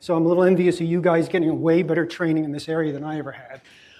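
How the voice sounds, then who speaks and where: A man speaks at a high pitch with fairly even intonation. There is audible room echo. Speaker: guest lecturer, tech executive. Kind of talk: lecture. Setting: lecture hall with students. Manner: fast.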